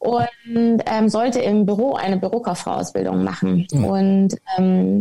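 Her voice is somewhat breathy, with a dark, mellow tone, lively intonation, and a medium pitch for a woman. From Munich, Bavaria. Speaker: former professional golfer. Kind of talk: podcast interview.

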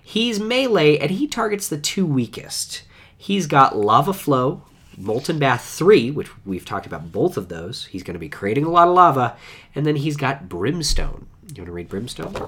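A man speaks at a moderate pace in a fairly high pitch, with very wide pitch swings, vocal fry and big swings in loudness. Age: 20s. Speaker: podcast host. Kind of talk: casual chat.

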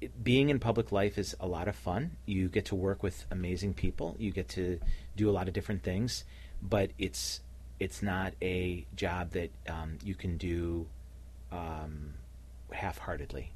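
A man speaks at a fairly slow pace with a very deep, low pitch and vocal fry. His pitch swings very widely. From Cleveland, Ohio. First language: Slovenian (bilingual). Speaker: nonprofit leader, former city official. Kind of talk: radio interview. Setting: radio studio.

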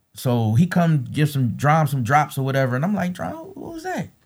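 Somewhat breathy and fairly high, a man's voice moves at a moderate pace with lively intonation in a very clean recording with a silent background. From Philadelphia. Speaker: mixtape DJ. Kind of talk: casual interview.

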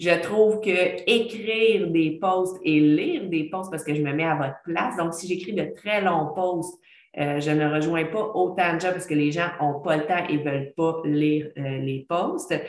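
A woman with a Quebec accent and a fairly low pitch talks at a fairly slow pace with hardly any pauses and ordinary pitch variation, with noticeable background noise and audible room echo. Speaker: podcast host, former teacher. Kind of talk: casual monologue. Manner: chatty, hesitant with fillers.

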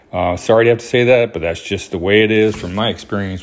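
A man talks at a very fast pace in a Southern US accent. His intonation stays fairly even. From US South, Alabama (Huntsville). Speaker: podcast host. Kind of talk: casual monologue. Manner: hesitant, many fillers.

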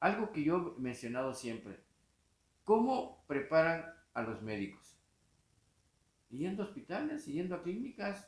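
This man's voice sits high and swings very widely in pitch. He moves at a fairly slow pace with long, frequent pauses. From Mexico, Tapachula, Chiapas. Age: 60s. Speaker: criminal defense lawyer and professor. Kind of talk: interview.

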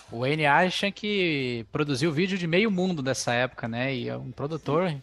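A man with an unremarkable speaking voice talks at a moderate pace with hardly any pauses. His fairly high pitch carries lively intonation. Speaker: podcast host. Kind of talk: casual chat; scripted narration.

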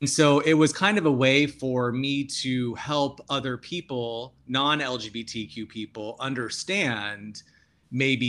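This is a man with a normal speaking voice at a medium pitch. His pitch variation is ordinary. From Tucson, Arizona. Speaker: author and educator. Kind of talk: interview. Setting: remote recording.

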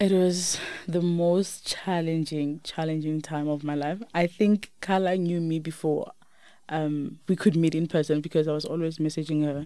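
A woman with a South African accent talks at a moderate pace in a dark, mellow, fairly low voice with monotone, flat intonation. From South Africa, Limpopo. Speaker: teacher. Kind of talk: interview. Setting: studio. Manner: soft-spoken; quiet.

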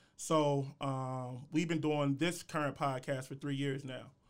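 A man's fairly high voice with an American accent, flat and monotone, at a moderate pace, on a very clean recording with a silent background. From US Midwest, Columbus, Ohio. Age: young. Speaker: podcaster. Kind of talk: casual chat.

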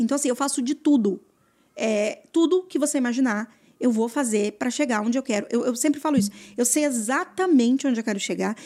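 A woman with a high-pitched voice speaks at a fairly quick pace with lively intonation, in a very clean recording against a silent background. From Mato Grosso do Sul, Brazil (rural interior). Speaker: real estate agent. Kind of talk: casual interview. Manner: hesitant, many fillers.

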